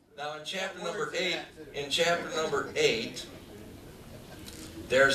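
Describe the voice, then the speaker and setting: A man's voice against noticeable background noise. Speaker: church preacher / teacher. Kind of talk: sermon to a congregation. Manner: emphatic, conversational, rhetorical questions.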